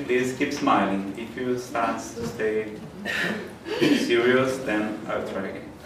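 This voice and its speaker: Amid noticeable background noise and audible room echo, a man talks at a very slow pace and a medium pitch. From Brazil, Ceará. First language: Portuguese. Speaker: spiritist lecturer. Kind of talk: lecture. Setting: stage with audience.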